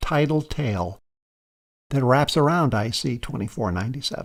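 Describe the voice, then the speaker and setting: At a fairly slow pace, a plain, everyday voice uses lively intonation. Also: man. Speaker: space documentary narrator. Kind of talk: science documentary narration.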